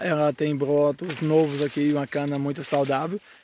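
A man's fairly high voice comes through dry with no echo, over light background noise. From Brazil, northern Minas Gerais. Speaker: small farmer and video creator. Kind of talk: casual vlog tutorial. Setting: outdoors in a sugarcane field. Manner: halting, with many fillers. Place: farm machine. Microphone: phone near.

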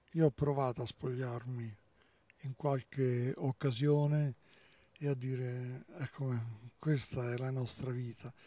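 In a dry sound with no echo, a man speaks very slowly and somewhat breathily, with long, frequent pauses, a dark, mellow tone and monotone, flat intonation. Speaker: priest. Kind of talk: interview. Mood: earnest, reflective. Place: street. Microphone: handheld.

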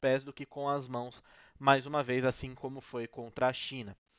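Against a quiet background, a man with a fairly high pitch speaks in a flat monotone, the sound dry with no echo. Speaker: sports commentator / YouTuber. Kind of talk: post-match analysis, informal sports commentary to camera. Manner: conversational, explanatory, fairly fluent with filler words. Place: home room. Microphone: headset.

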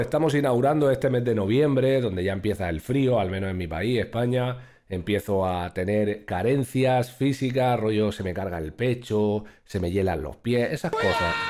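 Against a quiet background, a man talks at a moderate pace with a dark, mellow tone. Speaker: streamer. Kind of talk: casual reaction commentary. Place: home room. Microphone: studio mic.

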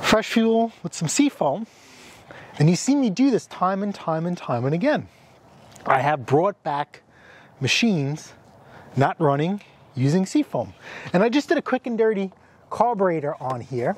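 A man with a high pitch speaks at a moderate pace in a dry sound with no echo. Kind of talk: casual vlog chat. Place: street.

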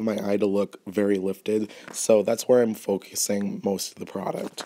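A man speaks at a moderate pace. His voice sits fairly low. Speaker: makeup artist. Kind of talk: tutorial.

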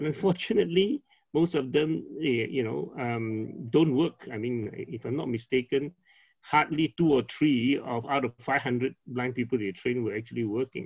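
Vocal fry runs through a man's speech. Behind him the background is quiet. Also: medium pitch for a man, lively intonation, moderate pace. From Penang, Malaysia. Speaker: company founder. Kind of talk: casual interview chat. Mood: reflective, calm. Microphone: video call.

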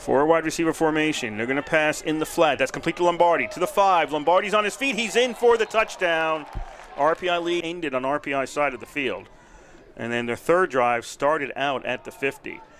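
Over noticeable background noise, a man talks at a moderate pace with lively intonation and a fairly high pitch. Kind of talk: live play-by-play sports commentary. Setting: game broadcast.

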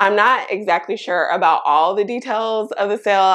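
The background stays quiet. A woman talks at a moderate pace, her pitch varying in an ordinary way. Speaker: fashion vlogger. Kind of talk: casual vlog chat. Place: home room. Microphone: lapel.

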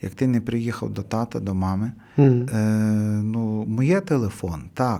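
A man talks at a fairly slow pace with a medium pitch. His tone is dark and mellow. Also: ordinary pitch variation. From Hutsul region, western Ukraine (Kuty). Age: old. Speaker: priest. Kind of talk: radio interview. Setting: radio studio. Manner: halting with fillers.

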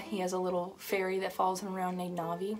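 A woman speaks very fast in a monotone, flat intonation. Faint music plays in the background. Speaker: horse owner vlogger. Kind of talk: casual vlog chat. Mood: cheerful, fond. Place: home room. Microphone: phone near.

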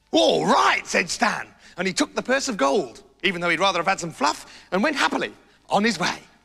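The speaker moves at a fairly quick pace with very wide pitch swings against a quiet background. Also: man. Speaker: storyteller. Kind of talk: children's story narration with character voices. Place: studio.

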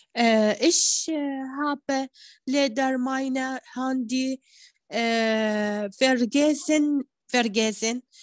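Speaking at a very slow pace with an Arabic accent, a woman uses a high pitch and fairly even intonation. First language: Arabic (speaking German). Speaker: language student. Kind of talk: reading aloud exercises. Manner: halting, hesitant.

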